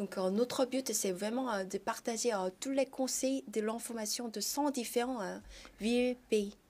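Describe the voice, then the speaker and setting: A woman speaks in a Korean accent at a fairly high pitch. Her pace is fairly slow. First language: Korean (speaking French). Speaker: startup founder. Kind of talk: TV interview. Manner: halting, many hesitations.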